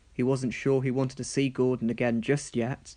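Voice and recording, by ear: A man speaks at a moderate pace in a medium pitch with a dark, mellow tone. There is little pitch movement.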